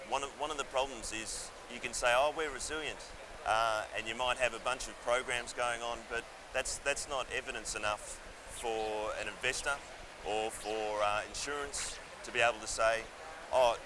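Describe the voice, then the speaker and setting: At a moderate pace, a man of medium pitch talks with fairly even intonation amid noticeable background noise and audible room echo. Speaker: engineering firm technical director. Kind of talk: interview. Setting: conference venue.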